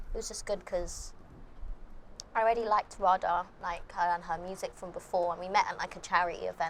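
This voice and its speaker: At a fairly quick pace, a woman speaks with a London accent. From London, England. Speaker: musician. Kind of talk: interview. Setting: outdoors, windy. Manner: soft-spoken; quiet.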